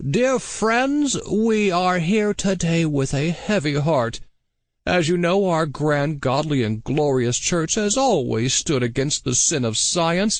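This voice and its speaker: Squeaky and pompous, the put-on character voice moves at a fairly slow pace with very wide pitch swings. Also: man, high pitch for a man. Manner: pompous, sanctimonious.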